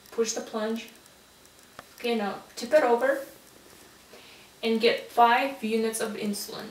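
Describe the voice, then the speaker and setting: Against noticeable background noise, a woman with a fairly high pitch talks at a fairly slow pace with fairly even intonation and long, frequent pauses. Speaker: nursing student. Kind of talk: role-play patient teaching.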